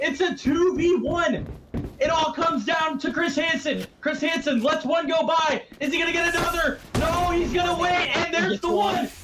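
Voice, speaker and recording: The man's voice is extremely high, with ordinary pitch variation. He speaks at a moderate pace amid noticeable background noise. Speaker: esports caster. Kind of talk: live commentary. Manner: animated.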